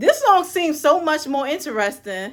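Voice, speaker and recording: In a very clean recording with a silent background, a woman projects a raised, animated voice with a bright, sharp tone at a moderate pace. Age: 20s. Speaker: music reviewer. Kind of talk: album review monologue.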